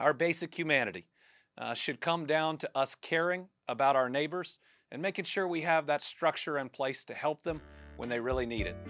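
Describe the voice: Someone talks with a Kentucky accent while music plays in the background. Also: fairly quick pace.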